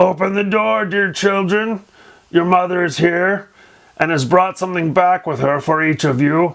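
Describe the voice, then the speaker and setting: A man puts on a character voice, pitched high. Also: moderate pace. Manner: coaxing, feigning a gentle tone.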